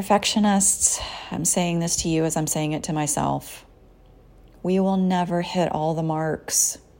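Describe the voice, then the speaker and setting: A woman talks at a fairly slow pace in a fairly low pitch, her intonation monotone and flat. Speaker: psychotherapist and podcast host. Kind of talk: solo podcast monologue with guided mindfulness. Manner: softer and slower during compassion exercises; conversational, casual.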